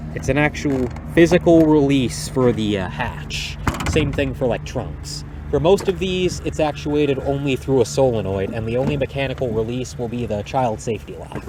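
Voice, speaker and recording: The speaker keeps a moderate pace with very wide pitch swings. Noticeable background noise is present. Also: man, medium pitch for a man. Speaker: car enthusiast youtuber. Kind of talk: casual car review walkaround. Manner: rambling, casual with many fillers.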